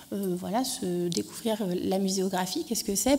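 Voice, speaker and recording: A woman's somewhat breathy voice. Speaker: archaeologist presenting an education project. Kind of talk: conference talk. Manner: hesitant, many fillers.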